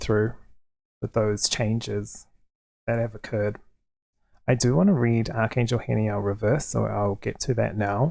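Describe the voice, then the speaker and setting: A soft-spoken man with a dark, mellow tone, fairly even intonation, a moderate pace, and long, frequent pauses, in a very clean recording with a silent background. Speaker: tarot card reader. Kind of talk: tarot reading to camera. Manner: quiet, soft-spoken.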